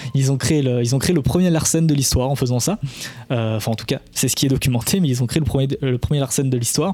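Over noticeable background noise, a man talks at a very fast pace in a medium-pitched voice, with ordinary pitch variation and very even loudness. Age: 20s. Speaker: podcast host, sound technology educator. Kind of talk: casual educational podcast chat. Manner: halting, with stammers and repetitions.

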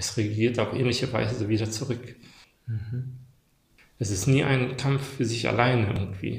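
Speaking with vocal fry and fairly even intonation, a man leaves long, frequent pauses while audible room echo surrounds him. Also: medium pitch for a man, moderate pace. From Germany, moved from Bosnia-Herzegovina as child. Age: 40s. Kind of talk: casual chat. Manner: halting.

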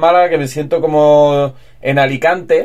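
Here is a man with a fairly high pitch. His intonation is monotone and flat. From Spain, Albacete. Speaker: screenwriter and film director. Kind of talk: interview. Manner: halting.

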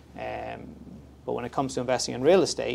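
The speaker has an Irish accent and a moderate pace. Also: man. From Ireland. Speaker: mortgage broker. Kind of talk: casual interview.

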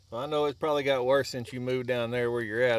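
This man speaks with a Southern US accent at a medium pitch. His intonation stays fairly even. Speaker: podcast host. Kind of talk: casual chat.

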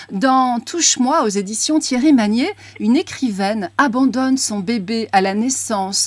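Amid noticeable background noise, a woman speaks at a fairly slow pace with a fairly high pitch and lively intonation. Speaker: radio host. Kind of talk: interview.

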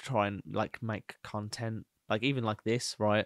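A man with a Birmingham accent speaks at medium pitch and moderate pace. The recording is very clean, with a silent background and a dry, close sound with no echo. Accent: Birmingham (Brummie). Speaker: podcast co-host, freelancer. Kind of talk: casual banter chat, comedic.

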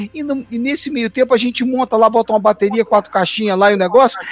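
In a dry, close sound with no echo, a man talks at a very fast pace in an extremely high pitch with ordinary pitch variation. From Brasília, Brazil. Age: 50s. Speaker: gospel musician. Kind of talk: casual chat. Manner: halting.

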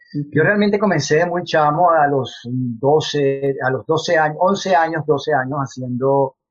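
A man's fairly high, somewhat breathy voice in a Venezuelan accent, at a fairly slow pace. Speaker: actor. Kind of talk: interview.

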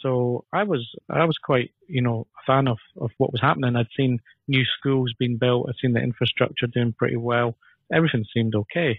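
A man with a Scottish accent, fairly quick in pace, with ordinary pitch variation. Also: medium pitch for a man. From northern Scotland (Elgin), family from Dundee. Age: 50s. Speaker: political party candidate. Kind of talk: interview.

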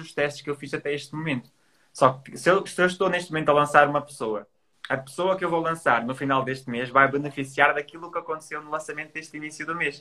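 Speaking very fast with fairly even intonation, a man has a bright, sharp tone and big swings in loudness. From Portugal, Trás-os-Montes. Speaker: digital entrepreneur. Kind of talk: casual interview. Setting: Instagram live.

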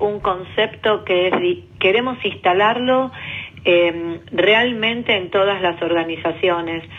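Over noticeable background noise, a woman at a medium pitch speaks at a very slow pace with ordinary pitch variation. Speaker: government official. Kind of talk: interview.

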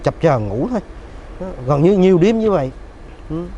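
A man speaks at a fairly quick pace and a fairly high pitch, with very wide pitch swings. Noticeable background noise is present. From Ho Chi Minh City, southern Vietnam. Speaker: doctor. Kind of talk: interview.

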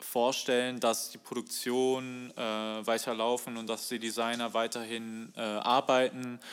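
A man speaks very slowly at a medium pitch. His intonation is monotone and flat. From Germany, Bochum (Ruhr area). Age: 20s. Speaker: fashion design student and musician. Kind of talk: casual chat. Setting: video call. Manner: halting, many fillers.

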